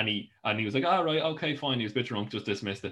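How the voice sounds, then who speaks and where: Bright and sharp in tone, a man talks with an Irish accent. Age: young. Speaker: podcast host. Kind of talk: casual chat. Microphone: new webcam.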